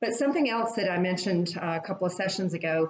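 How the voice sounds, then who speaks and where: Pitch variation is ordinary in an ordinary speaking voice. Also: woman. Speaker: fitness instructor. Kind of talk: guided exercise class.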